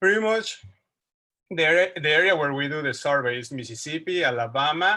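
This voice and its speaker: A man with a bright, sharp tone, a moderate pace and ordinary pitch variation, in a very clean recording with a silent background. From Mexico City. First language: Spanish. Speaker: wildlife researcher. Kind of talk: lecture. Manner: halting.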